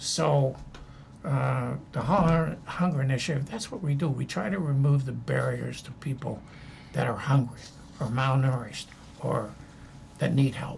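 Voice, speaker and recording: The speech moves at a moderate pace with long, frequent pauses, and audible room echo surrounds it. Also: man. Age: 80s+. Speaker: former ambassador and anti-hunger advocate. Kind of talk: interview conversation. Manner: halting, many fillers.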